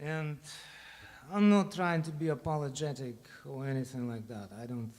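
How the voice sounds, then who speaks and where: A man with a Russian accent, fairly slow pace and lively intonation, amid audible room echo. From Ukraine. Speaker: bandleader. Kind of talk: speech to audience between songs. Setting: stage with audience.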